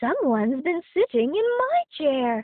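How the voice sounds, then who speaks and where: Putting on a character voice, a woman speaks at a fairly slow pace with a high pitch and very wide pitch swings. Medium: read story.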